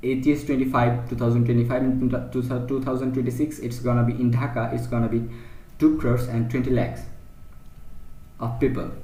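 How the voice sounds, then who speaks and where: With a Bangladeshi accent, a man speaks in a monotone, flat delivery at medium pitch, with audible room echo around him. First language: Bengali. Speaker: teacher. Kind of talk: lecture. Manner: halting.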